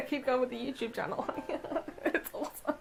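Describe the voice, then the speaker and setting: With music playing behind her, a high-pitched woman talks at a very fast pace in a strong Australian country accent. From outback Australia. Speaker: vlogger. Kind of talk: casual monologue vlog. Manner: mumbled when fast.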